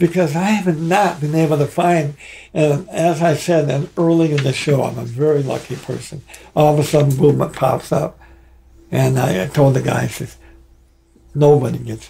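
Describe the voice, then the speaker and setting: With an American accent and a fairly high pitch, a man talks at a moderate pace with ordinary pitch variation over noticeable background noise. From Michigan. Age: 80s+. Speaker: rock drummer. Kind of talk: casual interview. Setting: studio. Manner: halting.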